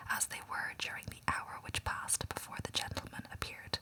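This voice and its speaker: A whisper moves at a moderate speed, with noticeable background noise behind it. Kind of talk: whispered audiobook reading of a classic novel, ASMR. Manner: whispered, relaxing, calming.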